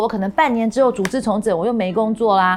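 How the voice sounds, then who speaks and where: Speaking at a very fast pace, a woman talks with a Taiwanese accent. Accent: Taiwanese Mandarin. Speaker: YouTube host and tech company employee. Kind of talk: solo talk-show commentary.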